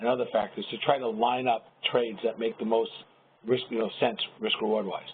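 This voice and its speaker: A man speaks at a very fast pace and a medium pitch. His intonation stays fairly even. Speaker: trader and trading educator. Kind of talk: webinar presentation. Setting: live webinar.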